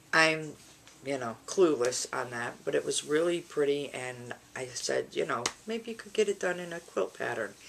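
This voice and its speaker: Speaking at a moderate pace, a woman with a very deep, low pitch and vocal fry shows very wide pitch swings and big swings in loudness. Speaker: crafting vlogger. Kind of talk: casual vlog chat. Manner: animated.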